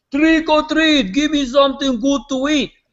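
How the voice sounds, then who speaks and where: At a moderate pace, a man talks with a Hungarian accent. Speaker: real estate agent. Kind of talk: storytelling in a live video interview. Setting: live online video hangout.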